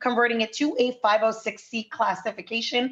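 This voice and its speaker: The woman's voice sits at a fairly high pitch. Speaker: real estate investment presenter. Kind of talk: sales pitch. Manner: fast.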